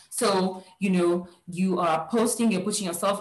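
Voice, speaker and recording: In a Nigerian accent, a woman speaks at a medium pitch with ordinary pitch variation and a somewhat breathy sound. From Nigeria, Lagos. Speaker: career coach, HR professional. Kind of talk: workshop talk.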